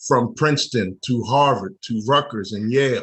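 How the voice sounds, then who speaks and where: A man talks at a fairly slow pace, somewhat breathy, with ordinary pitch variation. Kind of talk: spoken word poetry performance.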